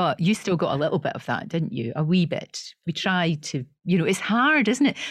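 Her pitch swings very widely as the woman talks at a moderate pace, somewhat breathy throughout. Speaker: podcast co-host. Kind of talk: casual interview chat.

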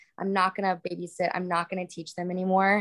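In a dry, close sound with no echo, a woman with an American accent speaks in a monotone, flat intonation. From Florida, US South. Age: 20s. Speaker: influencer and model. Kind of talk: casual chat.

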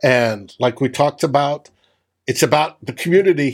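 At a moderate pace, a man with a plain, everyday voice speaks at a medium pitch with lively intonation. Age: middle-aged. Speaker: sports podcast host. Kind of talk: casual chat.

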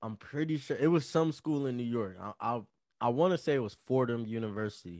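A man in an ordinary speaking voice, with lively intonation and a fairly quick pace, over a quiet background. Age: 20s. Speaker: podcast co-host. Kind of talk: casual chat.

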